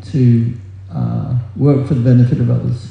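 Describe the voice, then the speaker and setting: A man with a medium-pitched voice talks while noticeable background noise carries on behind him. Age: 70s. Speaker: book distributor. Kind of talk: religious talk. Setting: stage with audience.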